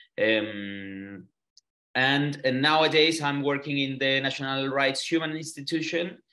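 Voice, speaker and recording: Speaking with a Chilean Spanish accent, a man uses a bright, sharp tone and a fairly high pitch with ordinary pitch variation, keeping his loudness very even at a fairly slow pace. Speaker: human rights lawyer and activist. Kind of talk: online interview. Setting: video call from a hotel room. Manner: halting, many fillers and repeats.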